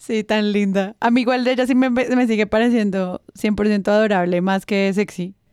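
At a moderate pace and fairly high pitch, a woman speaks with hardly any pauses, very even loudness and fairly even intonation. The sound is dry and close, with no echo. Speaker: podcast host. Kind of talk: casual chat.

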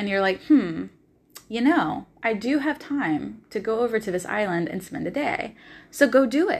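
A woman with an American accent speaks in an animated tone at a fairly high pitch, with very wide pitch swings and vocal fry. The recording is very clean, with a silent background. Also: moderate pace. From US South, Nashville, Tennessee. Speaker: podcast host and life coach. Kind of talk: solo monologue podcast.

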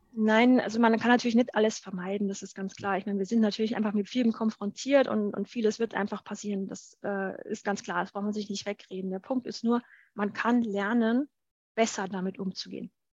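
Somewhat breathy and medium in pitch, a woman speaks at a fairly quick pace in a monotone, flat intonation. The sound is dry and close with no echo, over a quiet background. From Bavaria, Germany. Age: 30s. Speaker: university lecturer and author. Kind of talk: interview.

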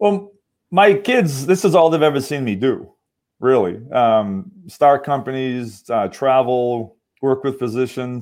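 A man with an ordinary speaking voice, medium pitch and lively intonation, at a fairly slow pace. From Massachusetts. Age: 50s. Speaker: medical device engineer and venture investor. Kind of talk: interview. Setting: online call.

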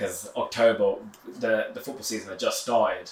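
A man with a London accent at a fairly quick pace. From west London, England (Hounslow). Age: 20s. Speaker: amateur football club founder. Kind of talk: interview. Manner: halting.

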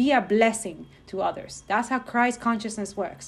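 Somewhat breathy, a woman speaks at a fairly high pitch. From Dominican Republic. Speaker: podcast host and spiritual guide. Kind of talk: spiritual monologue. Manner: casual, filler-heavy; rushed.

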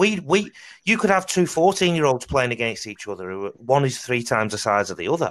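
Very wide pitch swings in a Mancunian accent at a fairly quick pace, in a very clean recording with a silent background. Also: man. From Salford, northern England. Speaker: podcast host. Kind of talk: casual chat.

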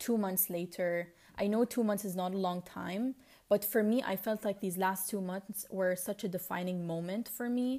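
On a very clean recording with a silent background, a woman of medium pitch speaks at a moderate pace with a dark, mellow tone and fairly even intonation. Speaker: podcast host. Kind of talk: solo personal podcast monologue, audio diary. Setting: alone at home. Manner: reflective, casual, rambling.

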